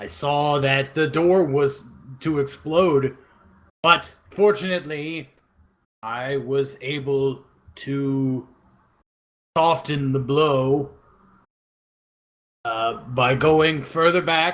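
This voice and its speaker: A man speaks at a very slow pace in a put-on character voice, fairly high in pitch. He makes long, frequent pauses. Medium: actual play. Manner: halting, earnest, slightly odd phrasing.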